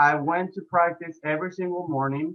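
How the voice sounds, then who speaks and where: A man with an Argentine accent speaks at a moderate pace. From Argentina. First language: Spanish. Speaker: health and fitness coach, ex-pro soccer player. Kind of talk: podcast interview. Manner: hesitant, many fillers.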